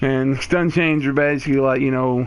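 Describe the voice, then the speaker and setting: A man with a plain, everyday voice speaks at a medium pitch. He keeps a moderate pace and fairly even intonation. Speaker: gaming YouTuber. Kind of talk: tutorial.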